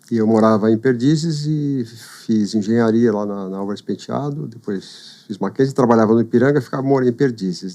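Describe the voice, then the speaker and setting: Here a man speaks at a moderate pace in a dark, mellow tone. His pitch varies in an ordinary way. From São Paulo, Brazil. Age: 60s. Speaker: businessman. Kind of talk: casual interview chat. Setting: studio. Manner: halting.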